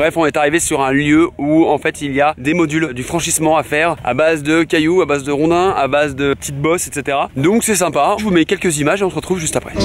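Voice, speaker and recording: A man's fairly high voice at a very fast clip, with hardly any pauses. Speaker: vlogger. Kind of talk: vlog to camera. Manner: casual, animated.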